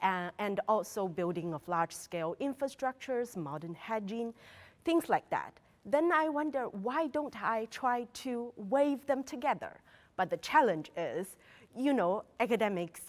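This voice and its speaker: A woman's fairly high voice in a Mandarin accent, at a fairly slow pace with very wide pitch swings. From China. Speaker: academic researcher. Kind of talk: interview. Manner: halting, with fillers.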